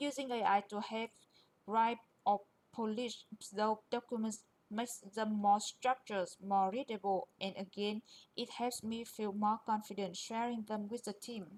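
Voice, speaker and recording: A woman's fairly high voice in a monotone, flat intonation. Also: moderate pace. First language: not English. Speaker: QA engineer presenter. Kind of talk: presentation.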